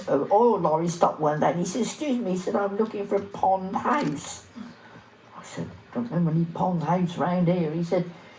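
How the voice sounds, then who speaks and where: At a fairly quick pace, a woman speaks with medium pitch and ordinary pitch variation amid noticeable background noise. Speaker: village elder recalling local history. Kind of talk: oral history reminiscence.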